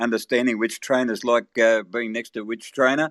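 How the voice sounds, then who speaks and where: Over a quiet background with a dry, close sound and no echo, a man with a medium pitch talks at a very fast pace in an Australian accent. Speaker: race caller. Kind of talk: interview answer.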